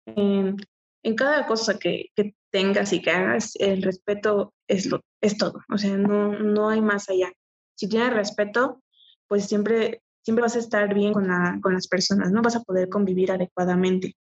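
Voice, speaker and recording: A woman's unremarkable speaking voice at a medium pitch, with fairly even intonation and a fairly slow pace. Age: 20s. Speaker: adult content creator and nursing student. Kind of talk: casual interview.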